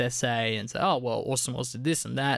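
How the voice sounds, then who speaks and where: A man with an Australian accent talks at a fairly quick pace with vocal fry. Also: very clean recording, silent background. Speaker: film podcast co-host. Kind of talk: casual chat.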